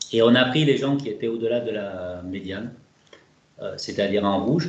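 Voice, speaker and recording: A man speaks at a medium pitch and a moderate pace, with ordinary pitch variation. Room echo is audible. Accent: southern French. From southern France (Toulouse). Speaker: researcher / statistician. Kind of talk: webinar presentation. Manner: hesitant, many filler words.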